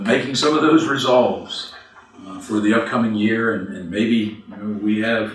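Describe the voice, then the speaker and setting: A man at a moderate pace and medium pitch, ordinary pitch variation, big swings in loudness, with noticeable background noise and audible room echo. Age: 60s. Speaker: minister. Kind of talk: sermon. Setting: church.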